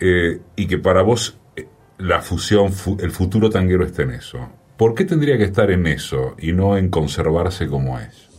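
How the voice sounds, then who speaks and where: Someone with a Rioplatense accent talks at a moderate pace with lively intonation. Noticeable background noise runs under the speech. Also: man, very deep, low pitch for a man. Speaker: radio host. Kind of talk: interview.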